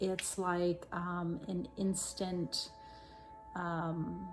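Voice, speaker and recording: Music plays in the background as a woman speaks at a very slow pace. Her intonation is fairly even. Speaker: tarot reader and spiritual channeler. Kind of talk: channeled tarot reading.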